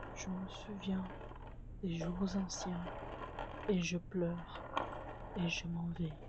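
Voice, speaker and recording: A woman's fairly low pitch at a very slow pace, over noticeable background noise. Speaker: student filmmaker. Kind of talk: poetry reading. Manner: whispered.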